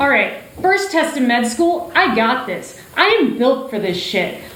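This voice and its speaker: A woman's high voice with very wide pitch swings at a fairly slow pace, over noticeable background noise. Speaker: doctor and storyteller. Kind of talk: one-person stage show monologue.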